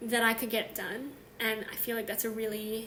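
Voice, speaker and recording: A woman speaks at a moderate pace with a fairly high pitch. Audible room echo surrounds her voice. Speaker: knitting podcast host. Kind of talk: casual solo video podcast. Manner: animated.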